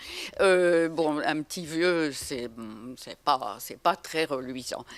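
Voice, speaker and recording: A woman with a fairly low pitch speaks with lively intonation on a very clean recording with a silent background. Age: 80s+. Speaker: association co-chair, senior advocate. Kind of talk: round-table talk. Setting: conference with audience. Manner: halting, many hesitations.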